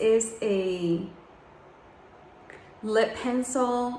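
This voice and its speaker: A woman with a fairly high pitch and ordinary pitch variation speaks amid noticeable background noise and audible room echo. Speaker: beauty vlogger. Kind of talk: tutorial. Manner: soft-spoken; casual.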